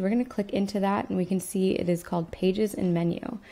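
The woman's voice has a dark, mellow tone. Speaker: website tutor. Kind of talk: tutorial. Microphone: webcam.

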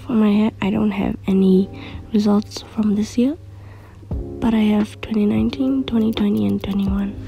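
A woman whispers, soft-spoken, at a moderate pace. Music plays in the background. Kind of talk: casual talk to camera. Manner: whispery, soft.

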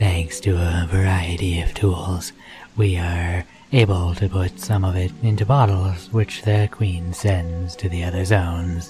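A put-on character voice, guttural and strained, moves at a fairly slow pace. Clear music plays in the background. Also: man, very deep, low pitch for a man. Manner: acted, dramatic.

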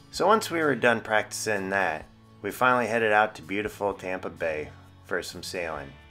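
A man at a moderate pace, with faint music in the background. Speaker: sailing vlogger narrator. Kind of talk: vlog voice-over narration. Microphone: studio mic.

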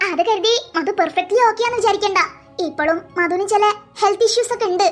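A cartoonish character voice with an extremely high pitch. It moves at a fairly quick pace. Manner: patient, explanatory, reassuring.

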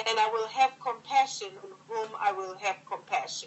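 Here is a woman with a plain, everyday voice. She talks at a moderate pace with a fairly high pitch. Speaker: church minister. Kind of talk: reading aloud. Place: home room. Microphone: phone near.

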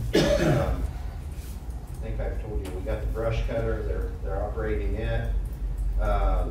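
Noticeable background noise and audible room echo around a fairly slow delivery. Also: man. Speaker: county highway superintendent. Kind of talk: public meeting report. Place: meeting room.

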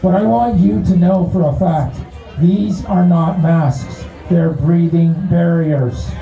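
A man speaks with audible room echo around him. Faint music plays in the background. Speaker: speaker. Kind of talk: public speech. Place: street.

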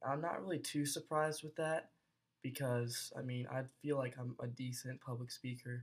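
A somewhat breathy man at a moderate pace, with fairly even intonation. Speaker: college student. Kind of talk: casual video blog. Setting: self-recorded video. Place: home room. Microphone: webcam.

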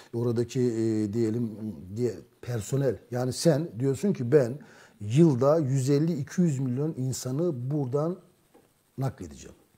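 The voice is dark, mellow and somewhat breathy, moving at a very slow pace with long, frequent pauses and ordinary pitch variation. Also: man, medium pitch for a man. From Turkey. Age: 50s. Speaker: journalist. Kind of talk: political discussion. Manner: hesitant, frequent fillers. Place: studio. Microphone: lapel.

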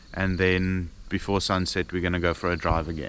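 A man's very deep, low voice comes through with a dry sound, no echo and light background noise. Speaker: travel vlogger. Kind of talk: casual vlog chat. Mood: relaxed, content. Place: open country. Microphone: phone near.

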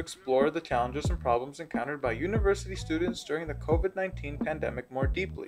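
Faint music plays in the background. A man talks at a very fast pace. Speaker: presenter. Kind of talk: informational presentation. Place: home room. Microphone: phone near.

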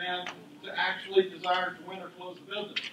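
Over noticeable background noise and audible room echo, a man speaks at a moderate pace in a raised, projected voice. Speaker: panelist sales coach. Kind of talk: panel talk to audience. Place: meeting room.

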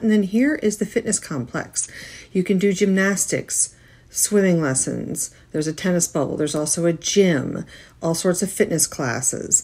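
A woman's plain, everyday voice, fairly low in pitch, with lively intonation at a moderate pace. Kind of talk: casual tour narration.

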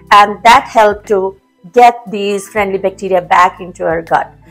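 Faint music sounds in the background. Over it, a woman talks. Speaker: health blogger. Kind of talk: tutorial. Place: kitchen. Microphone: lapel.

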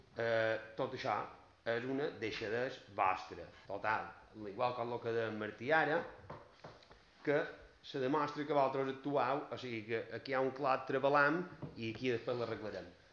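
Long, frequent pauses mark a man's fairly slow speech with ordinary pitch variation. Audible room echo surrounds the voice. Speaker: opposition councillor. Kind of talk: heated municipal council debate. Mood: critical, complaining. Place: meeting room.

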